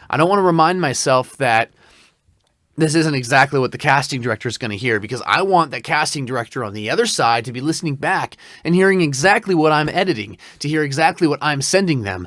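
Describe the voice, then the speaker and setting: Lively intonation marks a man talking at a very fast pace. The recording is very clean, with a silent background. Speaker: voice actor. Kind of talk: product review. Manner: conversational.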